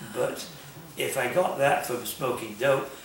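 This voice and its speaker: Over noticeable background noise and audible room echo, a man speaks in a fairly high voice. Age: 80s+. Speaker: underground newspaper journalist. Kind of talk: interview. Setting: bookstore.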